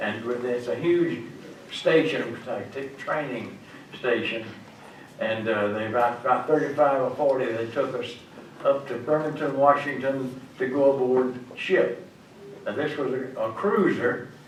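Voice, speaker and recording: A man talks at a fairly slow pace. Audible room echo and noticeable background noise are present. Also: medium pitch for a man, ordinary pitch variation. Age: 90s. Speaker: WWII Navy veteran. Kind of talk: talk to schoolchildren. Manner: halting.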